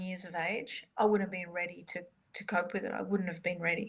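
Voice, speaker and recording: A woman is talking. Her accent is Australian. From Australia, Sydney. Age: 50s. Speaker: soprano and composer. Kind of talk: interview.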